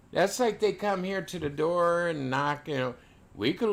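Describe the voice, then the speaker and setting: In an unremarkable speaking voice, a man with an American accent talks fairly high and at a fairly slow pace, recorded very cleanly with a silent background. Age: 60s. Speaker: live streamer. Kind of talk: casual chat.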